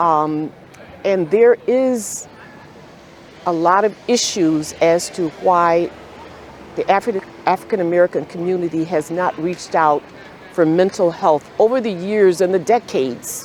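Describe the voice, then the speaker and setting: Noticeable background noise sits behind a woman with a fairly low pitch and ordinary pitch variation. Her pace is fairly slow, broken by long, frequent pauses. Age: 70s. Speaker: psychiatrist. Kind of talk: interview.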